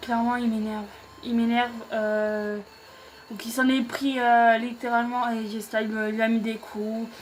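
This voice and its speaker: A woman's fairly high voice, monotone and flat, at a fairly slow pace over noticeable background noise. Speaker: YouTuber, wrestling show reviewer. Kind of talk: casual show recap to camera. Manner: hesitant, many fillers.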